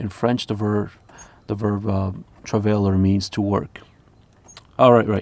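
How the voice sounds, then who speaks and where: A man's fairly low voice with a non-native accent, monotone, flat intonation and a moderate pace. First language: not English. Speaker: lute player and music teacher. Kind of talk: reading aloud with commentary. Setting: live stream.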